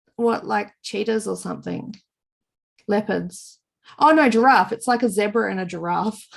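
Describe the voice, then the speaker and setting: On a very clean recording with a silent background, a woman with an Australian accent speaks at a medium pitch and moderate pace, with vocal fry, ordinary pitch variation and long, frequent pauses. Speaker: knitting podcast co-host. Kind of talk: casual podcast conversation.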